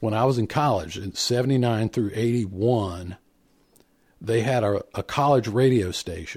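A man speaks in an unremarkable speaking voice with an American accent. His pitch is medium, with ordinary variation. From Indiana, US Midwest. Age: 50s. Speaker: podcast host, bluegrass musician. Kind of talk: casual chat. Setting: online call.

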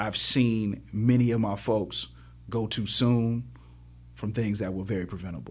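A man talks at a fairly slow pace in a fairly low voice. His pitch varies an ordinary amount, and the room echo is audible. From Chicago, South Side. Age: 40s. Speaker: professor and activist. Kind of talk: interview conversation.

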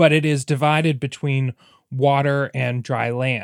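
The recording is very clean, with a silent background. A man with a normal speaking voice talks at a moderate pace, medium in pitch and with fairly even intonation. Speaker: podcast host. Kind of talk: casual chat, comedic banter. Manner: playful, chatty.

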